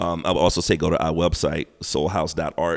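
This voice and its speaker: A man speaks in an American accent at a very deep, low pitch. Vocal fry runs through his voice. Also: very clean recording, silent background. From South Carolina. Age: 40s. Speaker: hip hop artist and gallery owner. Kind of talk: casual interview chat. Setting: art gallery.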